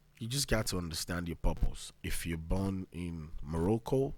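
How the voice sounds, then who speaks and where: The recording is very clean, with a silent background. A man speaks with a very deep, low pitch and ordinary pitch variation. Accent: Nigerian. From Nigeria. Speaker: podcast host. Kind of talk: motivational monologue. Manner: fast.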